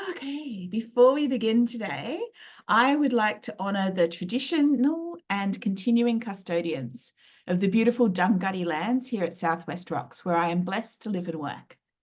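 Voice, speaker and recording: With an Australian accent, a woman speaks in a somewhat breathy, medium-pitched voice at a moderate pace, her pitch swinging very widely. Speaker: lawyer and business mentor. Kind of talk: webinar presentation. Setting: live video webinar.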